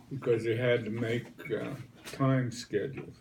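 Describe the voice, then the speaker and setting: At a fairly slow pace, a man with an American accent speaks at medium pitch with fairly even intonation over noticeable background noise. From West Virginia. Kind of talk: interview answer. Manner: hesitant, conversational.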